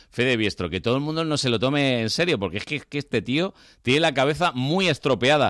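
A man speaks very fast at a medium pitch, animated in tone with lively intonation. The recording is very clean with a silent background and a dry, close sound with no echo. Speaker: radio host. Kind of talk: casual chat.

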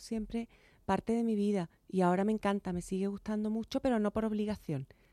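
A woman's voice has a dark, mellow tone. The recording is very clean with a silent background, and the sound is dry and close with no echo. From Chiclana de la Frontera, Cádiz, Andalusia, Spain. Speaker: journalist and author. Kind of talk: radio interview.

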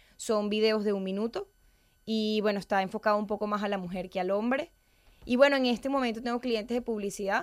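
A woman speaks fairly quickly in a plain, everyday voice. Her pitch sits in the middle range, with ordinary variation. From Venezuela. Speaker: public speaking coach. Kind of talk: interview.

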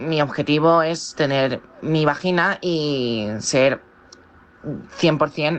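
Woman's voice, very deep and low in pitch, with ordinary pitch variation. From Valencia, Spain. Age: 20s. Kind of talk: interview testimony. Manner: halting.

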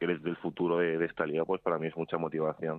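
In a Madrid accent, a man speaks with a very deep, low pitch. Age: 20s. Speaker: professional basketball player. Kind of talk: interview.

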